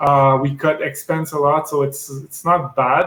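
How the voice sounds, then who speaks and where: In a French-Canadian accent, a man speaks at a fairly high pitch with monotone, flat intonation. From Quebec. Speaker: medical device sales rep. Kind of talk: interview. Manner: hesitant, many fillers.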